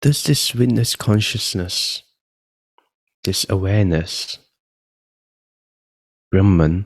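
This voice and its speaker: Calm, somewhat breathy man at a fairly low pitch, very slow with long, frequent pauses, ordinary pitch variation, and a dry, close sound with no echo. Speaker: meditation guide. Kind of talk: guided meditation. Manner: slow, calm.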